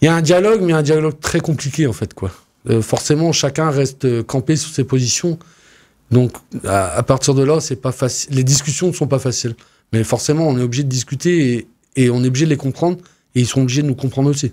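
In a quiet setting, a man with a fairly high pitch and a dark, mellow tone speaks at a fairly quick pace, his pitch varying in an ordinary way. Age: 30s. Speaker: farmer and farm union official. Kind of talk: radio interview. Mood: calm, earnest. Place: studio. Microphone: studio mic.

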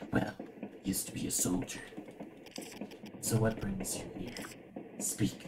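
Over loud background noise, a man puts on a gruff character voice at a moderate pace, with long, frequent pauses. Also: fairly low pitch for a man. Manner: blunt, curt.

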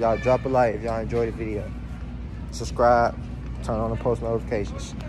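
Clear music plays behind a man talking at a very fast pace. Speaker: vlogger. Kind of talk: casual vlog chat. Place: shop. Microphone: phone near.

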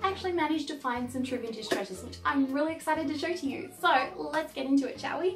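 A woman talking at a very fast pace, faint music in the background. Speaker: vintage fashion vlogger. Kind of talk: casual vlog chat. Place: home room.

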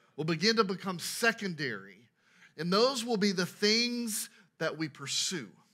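A man speaks in a raised, projected voice against a quiet background. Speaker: pastor preaching. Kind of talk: sermon. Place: church.

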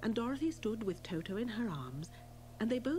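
Lively intonation carried by a natural reading voice

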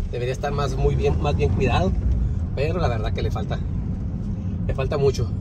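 Against loud background noise, the speaker goes at a fairly quick pace with long, frequent pauses, in a dry sound with no echo. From Tijuana, Mexico. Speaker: video blogger. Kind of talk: driving vlog narration. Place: car. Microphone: phone near.

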